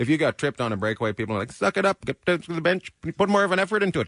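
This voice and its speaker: In a Western Canadian accent, a man talks at a very fast pace in a raised, projected voice, recorded dry and close with no echo. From Terrace, British Columbia, Canada. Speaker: actor. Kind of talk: casual radio interview.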